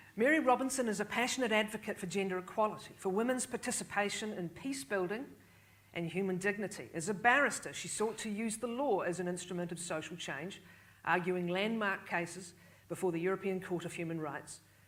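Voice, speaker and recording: The speech moves at a fairly quick pace with ordinary pitch variation. Audible room echo surrounds it. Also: woman, medium pitch for a woman. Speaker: panel moderator. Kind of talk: moderated panel discussion. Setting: stage with audience.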